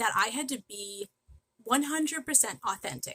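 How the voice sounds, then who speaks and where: A bright, sharp tone comes through at a moderate pace in a dry, close sound with no echo. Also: woman. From New England, Massachusetts. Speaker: direct sales leader. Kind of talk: live training stream. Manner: frequent ums.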